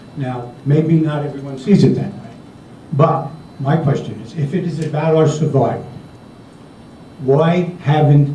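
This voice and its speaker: A fairly high-pitched man's voice with an American accent, fairly slow and fairly even in intonation, with long, frequent pauses and big swings in loudness, over noticeable background noise and audible room echo. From US Northeast, Connecticut. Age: 60s. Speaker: audience member asking question. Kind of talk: audience question.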